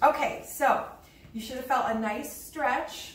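A woman with lively intonation at a fairly slow pace, amid light background noise and audible room echo. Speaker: fitness instructor. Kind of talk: tutorial. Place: empty room. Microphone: camera far.

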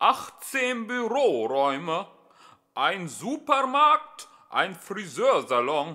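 A man with a high voice puts on a character voice with a bright, sharp tone. He goes at a slow pace with big swings in pitch.

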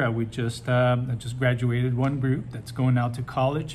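Light background noise runs through the clip. Over it, a man talks. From Brazil. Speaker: high school teacher and advisor. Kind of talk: welcome message to students. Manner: casual with many fillers. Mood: warm, encouraging. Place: office. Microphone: phone near.

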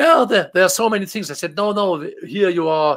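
His pitch swinging very widely, a man speaks with a German accent. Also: quiet background. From Germany. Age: 50s. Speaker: game translator; guest. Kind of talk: casual interview. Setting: video call. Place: home room.

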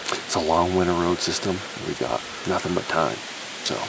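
A man talks at a fairly quick pace, the sound dry with no echo and noticeable background noise around it. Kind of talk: casual vlog chat. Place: open country. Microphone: phone near.

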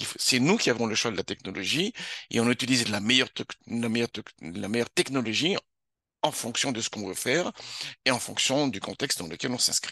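A man with a bright, sharp tone talks fairly quickly at a medium pitch. The sound is dry and close with no echo, and the background is quiet. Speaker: university lecturer. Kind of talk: lecture. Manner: fast.

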